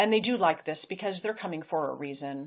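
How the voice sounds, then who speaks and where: This woman speaks at a fairly low pitch with ordinary pitch variation. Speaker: acupuncturist and clinical nutritionist. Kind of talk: webinar Q&A. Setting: webinar. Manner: fast; halting with repetitions.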